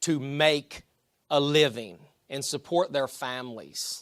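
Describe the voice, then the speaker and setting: Man with a West Virginia accent and a fairly high pitch, very clean recording, silent background. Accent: noticeable West Virginia. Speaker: army veteran. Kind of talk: public speech.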